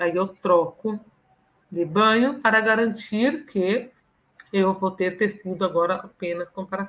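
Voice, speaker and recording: With a plain, everyday voice, a woman talks at a fairly slow pace, her medium pitch showing ordinary variation. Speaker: professor. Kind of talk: lecture. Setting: live online stream.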